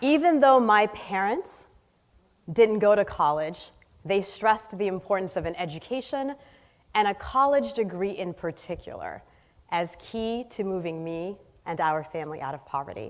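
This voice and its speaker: In an American accent, the speaker uses a normal speaking voice at a moderate pace, with lively intonation and big swings in loudness, on a very clean recording with a silent background. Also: woman, medium pitch for a woman. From US Northeast, inner city Boston. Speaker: social entrepreneur. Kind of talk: inspirational talk. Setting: stage with audience.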